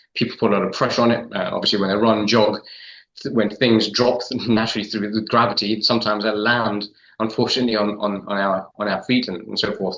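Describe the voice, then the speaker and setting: A man with an English accent at a very fast pace, fairly low-pitched, in monotone, flat intonation. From London, England. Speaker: podiatrist. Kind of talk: interview. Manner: halting, many fillers and repetitions.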